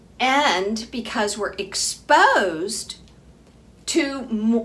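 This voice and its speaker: Audible room echo and noticeable background noise surround a woman with a fairly high pitch and ordinary pitch variation. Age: 60s. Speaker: physician running a health program. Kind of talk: informal health lecture to program members. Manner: casual, chatty with frequent fillers.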